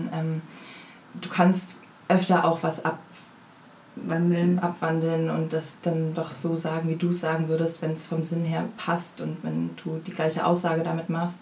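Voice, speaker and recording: A woman's fairly low, monotone voice with flat intonation and audible room echo. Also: fairly slow pace. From Berlin, Germany. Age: 20s. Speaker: actress. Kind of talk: interview.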